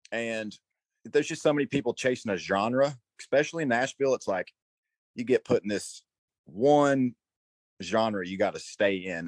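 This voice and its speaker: Recorded dry and close with no echo, a man talks at a moderate pace with lively intonation. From north Georgia, US South. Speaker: rock singer. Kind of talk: interview.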